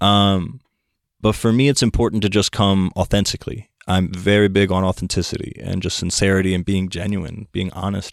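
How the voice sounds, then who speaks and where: A man with an unremarkable speaking voice talks at a moderate pace and fairly low pitch with fairly even intonation, his sound dry and close with no echo on a very clean recording with a silent background. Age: 20s. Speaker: hip hop artist. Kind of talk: casual chat.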